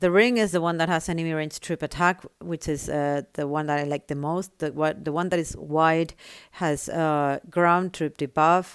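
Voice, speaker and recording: A woman's fairly low voice with a non-native accent, on a very clean recording with a silent background. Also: fairly even intonation, moderate pace. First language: not English. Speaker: gaming tutorial creator. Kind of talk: tutorial.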